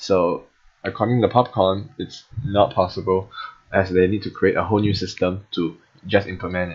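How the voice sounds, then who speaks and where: His voice is somewhat breathy and fairly low in pitch. The man keeps a fairly even intonation. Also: moderate pace. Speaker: gaming video creator. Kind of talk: game update commentary. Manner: halting, with fillers and self-corrections.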